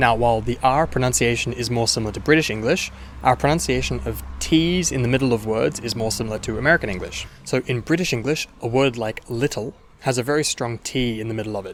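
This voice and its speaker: A man with an Australian accent talks at a very fast pace in a medium pitch with ordinary pitch variation. Noticeable background noise is present. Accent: mild Australian. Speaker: language teacher. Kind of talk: tutorial.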